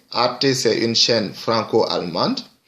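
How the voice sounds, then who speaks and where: A bright, sharp tone from a man at medium pitch. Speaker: video blogger. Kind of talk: commentary monologue. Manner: halting.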